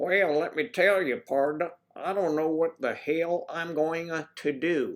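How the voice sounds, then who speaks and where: In an American accent, a put-on character voice sits at a middle pitch. The pace is fairly slow. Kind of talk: folksy. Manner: exaggerated, comic.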